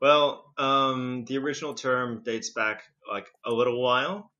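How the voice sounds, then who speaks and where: A man with a slight British accent. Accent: slight British-sounding. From Indonesia, international childhood, British school. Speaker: podcaster, guest. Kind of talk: casual interview chat.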